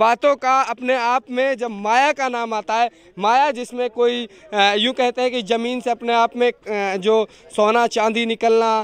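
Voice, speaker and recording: This man's voice is extremely high in pitch, and he talks at a fairly slow pace. His intonation is flat and monotone, and the sound is dry with no echo. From Mewat, Haryana (India); Haryana, India. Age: 20s. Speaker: local news reporter. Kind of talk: field report. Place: open country. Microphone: handheld.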